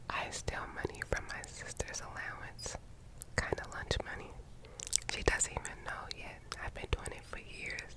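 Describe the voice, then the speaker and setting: Whispering at a moderate pace over noticeable background noise. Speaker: ASMR creator. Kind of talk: ASMR reading of viewer secrets. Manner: whispered.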